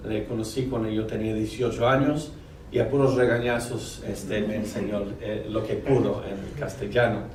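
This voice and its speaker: With a non-native accent, a man speaks at a medium pitch and ordinary pitch variation, amid noticeable background noise and audible room echo. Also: moderate pace. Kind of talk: lecture. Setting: university auditorium with audience. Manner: halting, many fillers.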